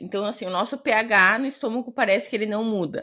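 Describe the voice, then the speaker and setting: Lively intonation and an animated tone carry this southern Brazilian accent on a very clean recording with a silent background. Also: woman. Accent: gaúcho Brazilian Portuguese. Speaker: gastroenterologist, podcast co-host. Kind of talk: casual chat. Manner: fast.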